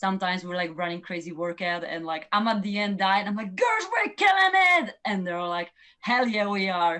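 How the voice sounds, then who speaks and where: Speaking with a strong non-native accent, a woman keeps a moderate pace with hardly any pauses, her medium-pitched voice bright and sharp and her intonation fairly even. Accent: strong foreign. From Poland. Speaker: professional runner. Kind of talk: podcast interview. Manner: loud.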